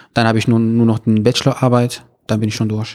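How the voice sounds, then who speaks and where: A man speaks very fast at a medium pitch, his tone dark and mellow. His intonation stays monotone and flat. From Morocco, Meknes. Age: 20s. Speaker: university student. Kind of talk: interview. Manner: halting, many filler sounds.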